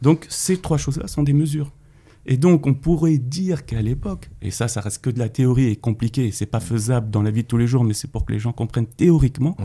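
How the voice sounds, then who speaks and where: In a dark, mellow, somewhat breathy tone, a man talks fairly quickly at medium pitch with ordinary pitch variation. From Paris, France. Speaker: former trader, finance commentator. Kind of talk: casual interview. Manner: halting, many repetitions.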